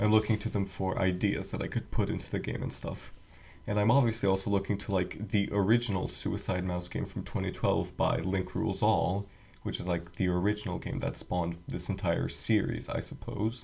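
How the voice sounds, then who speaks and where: A quiet, somewhat breathy man, fairly low in pitch, at a fairly quick pace with fairly even intonation. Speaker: game developer, video creator. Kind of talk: casual screen-recorded walkthrough. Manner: quiet, hushed; hesitant, many fillers.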